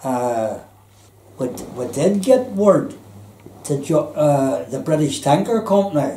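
With a Belfast accent, a man speaks very slowly in a fairly high voice with very wide pitch swings and long, frequent pauses. Light background noise and audible room echo are present. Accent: Belfast Northern Irish. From Belfast, Northern Ireland; Northern Ireland. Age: 80s+. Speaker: retired electrician and former merchant seaman; interviewee. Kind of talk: life story interview. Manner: halting, many fillers. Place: home room.

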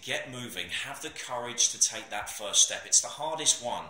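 Room echo is audible as a man speaks at a moderate pace with fairly even intonation. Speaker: personal trainer. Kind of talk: casual vlog chat. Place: gym. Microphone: phone near.

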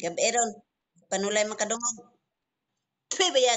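A woman with lively intonation, a fairly high pitch and a fairly slow pace. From Visayas, Philippines. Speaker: vlogger mother. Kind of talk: casual family vlog chat. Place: home room. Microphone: video call.

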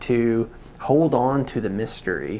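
Ordinary pitch variation over light background noise. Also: man. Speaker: photobook reviewer. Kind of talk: reflective commentary. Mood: calm, thoughtful.

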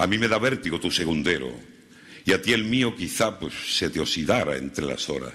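With a very deep, low pitch, a man speaks in a dramatic, bright, sharp tone, his pitch swinging very widely and marked by vocal fry. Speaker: Holy Week orator. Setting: stage with audience. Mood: solemn, lyrical. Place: stage. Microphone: podium.

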